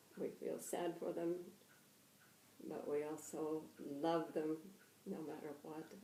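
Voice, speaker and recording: A woman's very deep, low voice with vocal fry, a dark, mellow tone, ordinary pitch variation and a very slow pace. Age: 80s+. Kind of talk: interview answer.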